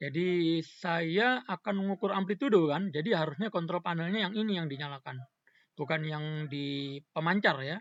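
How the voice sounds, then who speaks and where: The man's voice sits at a high pitch. He speaks at a moderate pace. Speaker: tutorial presenter. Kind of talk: tutorial. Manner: halting; soft-spoken.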